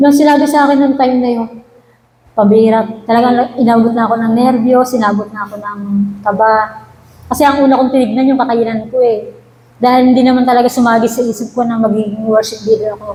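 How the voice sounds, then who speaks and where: The speech comes at a very fast pace in monotone, flat intonation. Noticeable background noise and audible room echo surround it. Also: woman, fairly high pitch for a woman. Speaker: church worship leader. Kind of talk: testimony. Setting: church prayer meeting. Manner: halting; formal.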